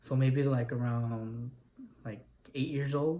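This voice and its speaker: Speaking at a fairly slow pace with a Spanish accent, a man uses a medium pitch with ordinary pitch variation. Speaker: interviewee. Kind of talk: interview.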